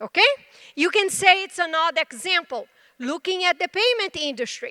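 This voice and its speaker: Using a raised, projected voice, a woman speaks with a bright, sharp tone and lively intonation in a dry, close sound with no echo. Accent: Brazilian Portuguese. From Brazil. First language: Portuguese. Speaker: tech executive. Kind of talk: conference presentation.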